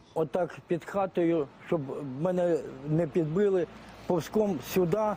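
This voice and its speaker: Very slowly and with fairly even intonation, a man speaks in a high, dark, mellow voice. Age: 60s. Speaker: retiree and volunteer fighter. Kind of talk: interview testimony.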